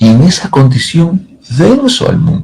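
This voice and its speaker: Vocal fry marks this man's voice as his pitch swings very widely. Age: 70s. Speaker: pastor. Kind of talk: sermon.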